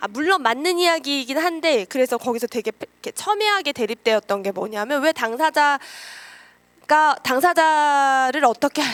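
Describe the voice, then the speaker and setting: A woman's moderately paced speech comes through in a dry, close sound with no echo. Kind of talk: lecture. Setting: lecture room with audience.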